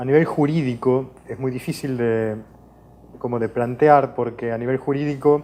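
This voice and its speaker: A man speaks with a slight Portuguese accent. His tone is dark and mellow, with ordinary pitch variation. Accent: Spanish tinged with Portuguese. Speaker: professor, water law researcher. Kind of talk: interview. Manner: hesitant, many fillers.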